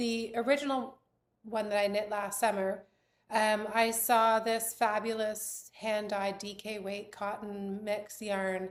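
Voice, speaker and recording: A woman's fairly high, monotone, flat voice at a very slow pace on a very clean recording with a silent background. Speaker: knitwear designer. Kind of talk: casual podcast chat. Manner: hesitant with fillers.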